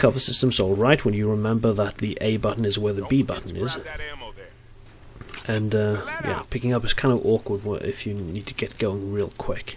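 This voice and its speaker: Over noticeable background noise, a man speaks at a fairly low pitch. His pace is moderate and his intonation fairly even. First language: Norwegian. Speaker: gaming video creator. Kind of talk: game commentary voice-over. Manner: halting, many fillers and restarts.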